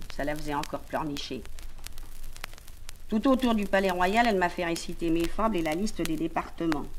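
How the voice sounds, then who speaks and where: A woman with a fairly low pitch speaks in a calm tone at a moderate pace. Her intonation is lively. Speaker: audiobook reader. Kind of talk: literary audiobook reading. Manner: narrative, calm reading.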